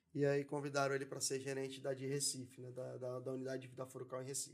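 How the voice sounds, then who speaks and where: A man's medium-pitched voice at a very fast pace. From São Paulo city (Zona Leste, Penha), Brazil. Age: 30s. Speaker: entrepreneur. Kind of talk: casual interview chat.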